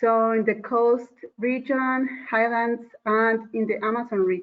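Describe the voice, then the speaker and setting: Speaking very slowly, a woman with a Spanish accent has a fairly high pitch. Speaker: conservation program worker. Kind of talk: online panel discussion. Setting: video call. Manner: hesitant. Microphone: microphone problems.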